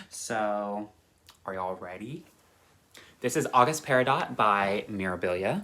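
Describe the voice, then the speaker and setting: A man speaks at a fairly slow pace with long, frequent pauses. His fairly low voice has lively intonation and a bright, sharp tone. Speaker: cross-stitch vlogger. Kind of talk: casual chat. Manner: halting; animated.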